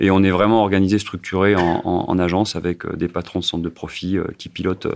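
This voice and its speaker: A man's very deep, low voice in a flat monotone at a fairly quick pace, on a very clean recording with a silent background. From France, Saint-Étienne. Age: 50s. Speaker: company president. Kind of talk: radio interview. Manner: halting, many repetitions and fillers.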